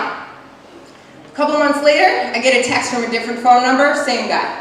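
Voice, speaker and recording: This woman speaks loudly and fairly slowly in a high pitch with ordinary pitch variation, against noticeable background noise and audible room echo. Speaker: storyteller. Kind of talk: storytelling.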